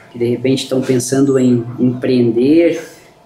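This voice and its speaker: Speaking at a medium pitch and a fairly slow pace, a man comes through with audible room echo and noticeable background noise. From southern Brazil, Lages, Santa Catarina. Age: 40s. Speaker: furniture business owner. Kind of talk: podcast interview.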